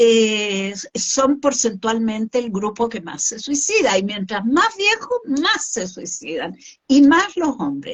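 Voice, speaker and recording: Her pitch fairly high and swinging very widely, a woman speaks at a very slow pace. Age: 60s. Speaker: suicide prevention expert. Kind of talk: interview conversation. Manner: hesitant fillers.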